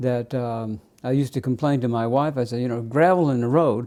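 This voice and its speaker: A man talks at a moderate pace with a dark, mellow tone. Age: 70s. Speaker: vlogger sharing personal weight loss story. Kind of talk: personal testimony monologue. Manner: halting, with many fillers.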